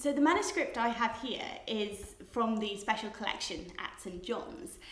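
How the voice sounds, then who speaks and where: A woman in a Cardiff accent, lively intonation and a fairly slow pace, with audible room echo and noticeable background noise. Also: fairly high pitch for a woman. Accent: Welsh English (Cardiff). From Wales, Cardiff. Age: 20s. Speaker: PhD student. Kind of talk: interview monologue. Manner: hesitant, with fillers and repetitions.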